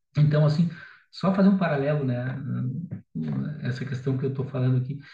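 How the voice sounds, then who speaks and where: A man's somewhat breathy voice, dark and mellow in tone, fairly high in pitch with ordinary variation, and audible room echo. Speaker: teacher. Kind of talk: lecture. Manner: fast.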